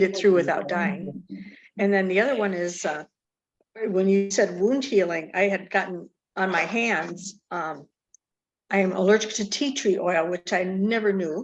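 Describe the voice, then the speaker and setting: A woman with a plain, everyday voice speaks at a medium pitch and moderate pace. Her pitch variation is ordinary. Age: 60s. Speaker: participant sharing testimonial. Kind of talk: testimony.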